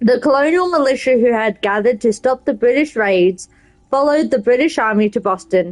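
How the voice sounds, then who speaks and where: A woman talks in a high pitch with an Australian accent. Her pitch swings very widely at a moderate pace. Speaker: game streamer. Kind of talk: reading aloud; casual gameplay commentary.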